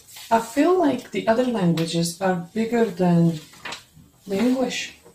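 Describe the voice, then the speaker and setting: With a non-native accent, a woman talks at a moderate pace and fairly high pitch, her voice making very wide pitch swings. Light background noise and audible room echo are present. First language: not English. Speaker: video blogger reviewing cookware. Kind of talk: product review, unboxing. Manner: halting, with many fillers. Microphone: phone near.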